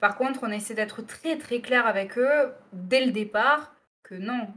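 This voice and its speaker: Her pitch varies in an ordinary way as a woman speaks at a fairly slow pace. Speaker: radio presenter. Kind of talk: interview answer.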